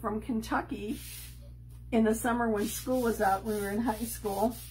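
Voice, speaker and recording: A woman with a slight Chicago accent at a moderate pace. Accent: slight Chicago accent on certain words. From Chicago, US Midwest. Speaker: crafting video host. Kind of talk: crafting tutorial livestream. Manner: casual, hesitant with many ums.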